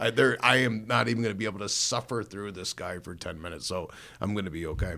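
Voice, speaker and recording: Spoken very fast with a Chicago accent and ordinary pitch variation, this very clean recording has a silent background. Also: man, fairly low pitch for a man. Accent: Inland North American (Chicago area). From northern Illinois. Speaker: pastor. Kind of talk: testimony. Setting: studio.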